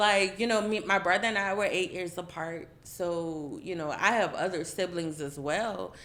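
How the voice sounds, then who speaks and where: Audible room echo around a moderate speed and ordinary pitch variation. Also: woman. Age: 30s. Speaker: roundtable participant, parent. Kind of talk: casual group discussion.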